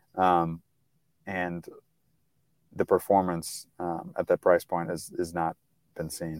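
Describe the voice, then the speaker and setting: In a very clean recording with a silent background and a dry, close sound with no echo, a man with an American accent speaks at a fairly slow pace in a monotone, flat intonation, with long, frequent pauses. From US Midwest, St. Louis. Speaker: golf tech company representative. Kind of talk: interview conversation. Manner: frequent fillers (um, uh, you know).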